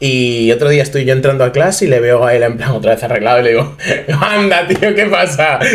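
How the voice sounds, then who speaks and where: Against noticeable background noise, a man with a Madrid accent speaks with very wide pitch swings. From Madrid, Spain. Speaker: podcast guest, unofficial collaborator. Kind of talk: casual chat.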